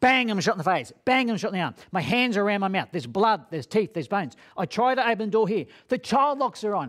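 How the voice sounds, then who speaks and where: The speech moves at a very fast pace with lively intonation. The background is quiet. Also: man. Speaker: speaker. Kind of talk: dramatic storytelling talk. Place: studio.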